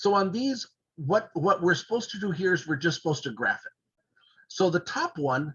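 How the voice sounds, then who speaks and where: A man talks with a high pitch. His intonation is lively. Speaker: math teacher. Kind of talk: lecture. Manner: fast.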